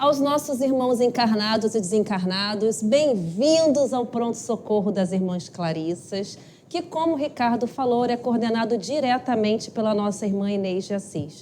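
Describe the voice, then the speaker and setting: This shrill voice moves at a fairly slow pace with lively intonation. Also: woman. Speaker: spiritist study group lecturer. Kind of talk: lecture. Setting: live-streamed talk with audience, microphone.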